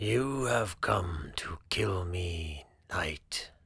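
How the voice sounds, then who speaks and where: This is a put-on character voice, rumbling and raspy. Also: man, very deep, low pitch for a man. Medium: read story. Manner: slow, measured, weary.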